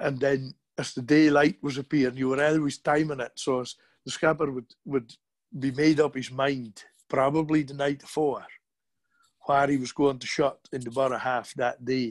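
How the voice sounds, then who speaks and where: In a very clean recording with a silent background, a man speaks at a moderate pace in a fairly high, monotone voice, the flat intonation heard dry and close with no echo. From Shetland, island of Burra. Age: 50s. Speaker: fisherman. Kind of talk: casual chat.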